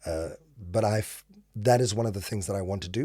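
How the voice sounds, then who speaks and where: A man's very deep, low voice with a dark, mellow tone and fairly even intonation. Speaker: event emcee and voice actor. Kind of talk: podcast interview. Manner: clear diction, careful enunciation; smooth.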